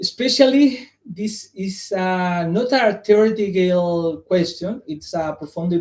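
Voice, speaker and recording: Speaking with a non-native accent, a man talks at a high pitch and a fairly slow pace with ordinary pitch variation. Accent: non-native English pronunciation. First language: Spanish. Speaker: psychologist presenting at academic symposium. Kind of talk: conference presentation. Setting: live stream. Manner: halting.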